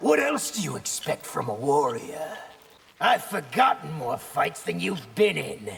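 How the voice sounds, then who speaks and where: Cartoonish character voice from a man, fairly high in pitch and fairly slow in pace. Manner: fierce, relishing.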